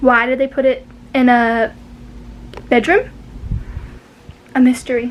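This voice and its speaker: A woman speaks at a high pitch with very even loudness. Her delivery is broken by long, frequent pauses. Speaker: vlogger. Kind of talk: casual room tour vlog. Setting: at home, moving around bedroom. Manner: animated. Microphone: no microphone, device mic.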